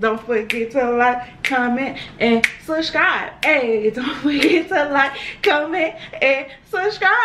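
Amid noticeable background noise, a woman speaks at a very slow pace. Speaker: mukbang host. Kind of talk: casual vlog chat. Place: home room.

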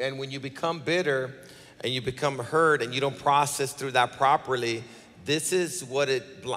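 This man speaks with fairly even intonation. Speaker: pastor. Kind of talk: sermon-style conversation on stage. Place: stage. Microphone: handheld.

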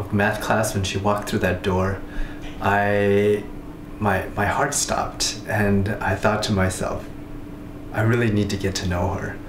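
A man's fairly low pitch at a fairly slow pace, with noticeable background noise. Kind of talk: confessional interview to camera. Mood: shy, hesitant, lovestruck.

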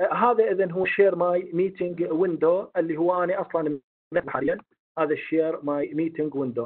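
With a high voice and ordinary pitch variation, a man delivers his words at a moderate pace. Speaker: webinar instructor. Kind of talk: online lecture. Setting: video call.

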